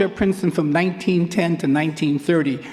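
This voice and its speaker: With an American accent, a man keeps a moderate pace as noticeable background noise sounds around him. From New York, Queens. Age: 70s. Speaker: track and field coach, hall of fame inductee. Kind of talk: acceptance speech.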